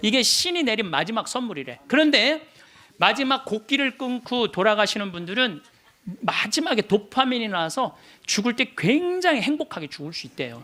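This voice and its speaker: A man speaks at a fairly quick pace in a raised, projected voice. His tone is animated, bright and sharp. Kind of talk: lecture.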